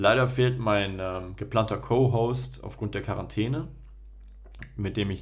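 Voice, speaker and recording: A man's voice with vocal fry and ordinary pitch variation, with audible room echo. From Germany, Ruhr area (Bochum). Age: 20s. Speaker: podcast host, medical student. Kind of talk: solo podcast intro monologue.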